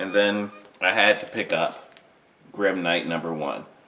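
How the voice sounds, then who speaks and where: A man's voice with noticeable background noise. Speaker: toy and comic collector vlogger. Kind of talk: casual haul video. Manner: hesitant, filler words.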